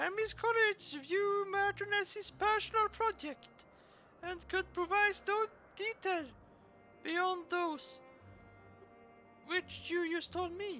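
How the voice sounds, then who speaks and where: Over clear background music, a put-on character voice speaks at an extremely high pitch and a fairly slow pace, with long, frequent pauses. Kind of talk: streamer reading game dialogue aloud. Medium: game stream. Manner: halting, stumbling read-aloud.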